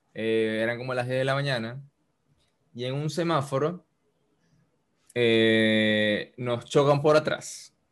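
A man at medium pitch, very slow pace, fairly even intonation and long, frequent pauses. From Valencia, Venezuela. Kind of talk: casual chat, personal storytelling.

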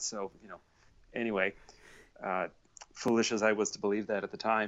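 This man has an ordinary speaking voice, medium in pitch, and talks at a fairly quick pace. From Canada. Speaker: author and bass player. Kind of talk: casual interview. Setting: remote call with headphones.

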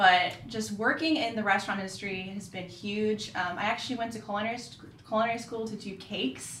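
Amid noticeable background noise, a woman with an American accent talks at a fairly quick pace in a fairly high pitch, with ordinary pitch variation and big swings in loudness. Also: hardly any pauses. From Florida, Orlando area. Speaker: pastry chef. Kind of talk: casual interview.

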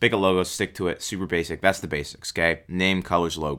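The recording is very clean, with a silent background. A man speaks fairly quickly in an energetic, bright, sharp tone. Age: 20s. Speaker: podcast host, lawn care business owner. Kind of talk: solo podcast, business advice. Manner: casual, energetic.

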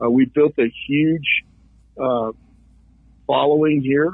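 The pace is fairly slow and the intonation fairly even. It is an ordinary speaking voice. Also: man. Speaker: political candidate, contractor. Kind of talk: radio interview, campaign talk.

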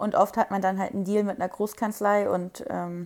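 A woman with an unremarkable speaking voice talks at a fairly quick pace with fairly even intonation, in a very clean recording with a silent background. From Germany, Wiesbaden (Hesse). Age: 20s. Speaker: law trainee. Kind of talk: casual chat.

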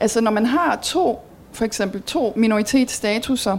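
In an unremarkable speaking voice, a woman talks fairly slowly with a fairly high pitch and lively intonation. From Belgium. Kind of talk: talk with audience Q&A.

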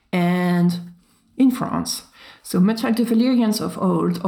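With ordinary pitch variation, the speaker uses a natural reading voice.

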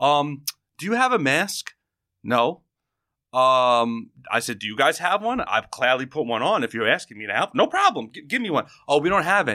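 In a New York accent, the voice carries a bright, sharp tone and very wide pitch swings at a moderate pace, on a very clean recording with a silent background. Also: man, fairly high pitch for a man. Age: 30s. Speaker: podcast host. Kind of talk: casual chat. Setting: studio.

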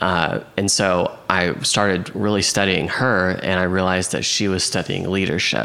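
A man's very deep, low voice with an American accent, monotone and flat, very even in loudness, at a moderate pace with hardly any pauses, against noticeable background noise. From Oklahoma City, US. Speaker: real estate agent and coach. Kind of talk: casual interview chat. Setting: host's kitchen, in person.

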